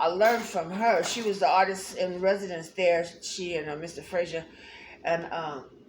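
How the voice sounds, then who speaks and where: Amid audible room echo and noticeable background noise, a woman with a fairly low pitch speaks at a moderate pace with fairly even intonation. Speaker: art teacher. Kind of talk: tutorial. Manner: halting.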